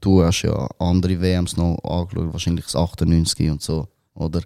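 This man has a dark, mellow tone. He talks at a moderate pace. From Switzerland, Zurich Oberland (Wetzikon). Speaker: rapper. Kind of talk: casual chat.

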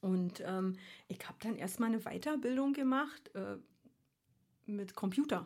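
A woman with a fairly high voice speaks fairly slowly with lively intonation, long, frequent pauses and big swings in loudness. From Berlin (East), Germany. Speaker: aromatherapist and herbalist. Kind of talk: casual interview chat.

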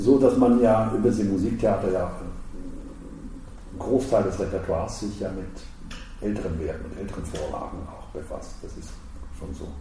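A man's loudness swings widely. Room echo is audible. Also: moderate pace. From Switzerland, Basel. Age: 60s. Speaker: opera house director. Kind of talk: interview. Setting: his office.

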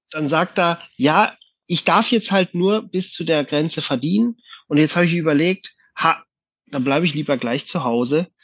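This man's voice sits high. The rise and fall of his pitch is ordinary. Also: moderate pace, dry, close sound with no echo. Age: 30s. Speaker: company manager. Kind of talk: casual chat. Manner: hesitant, many fillers.

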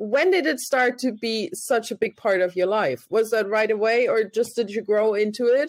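This woman speaks with a German accent and lively intonation. Her pitch sits fairly high. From Germany. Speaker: podcast host. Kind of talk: interview.

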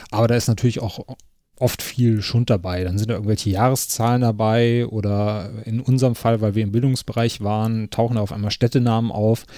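A man at a medium pitch talks at a fairly quick pace in a dark, mellow tone with monotone, flat intonation, on a very clean recording with a silent background. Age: 30s. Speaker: podcast host. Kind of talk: casual interview. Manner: frequent filler sounds.

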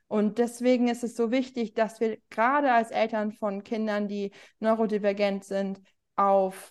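A woman with a plain, everyday voice, fairly high in pitch, fairly even in intonation, at a moderate pace over a quiet background. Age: 40s. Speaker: journalist and parenting author. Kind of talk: interview.

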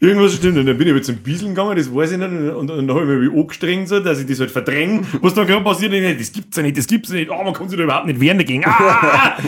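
A high-pitched man at a very fast pace with hardly any pauses and lively intonation, over noticeable background noise. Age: 30s. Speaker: podcast host. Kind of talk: casual chat.

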